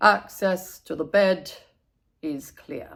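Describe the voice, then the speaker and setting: A female-sounding voice at a middle pitch performs a put-on character voice. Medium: read story. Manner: strict, instructive.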